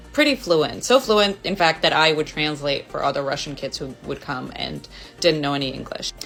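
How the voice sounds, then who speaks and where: A woman speaks at a fairly quick pace with lively intonation, music playing in the background. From Los Angeles, US (born Moscow, moved at 5). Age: 30s. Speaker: video creator and stand-up comedian. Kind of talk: casual personal talk to camera. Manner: casual, conversational.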